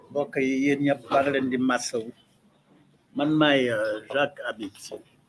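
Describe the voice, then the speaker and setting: A man's fairly high-pitched voice at a very slow pace, with fairly even intonation. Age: 70s. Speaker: political activist. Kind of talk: press conference statement. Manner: hesitant, many fillers.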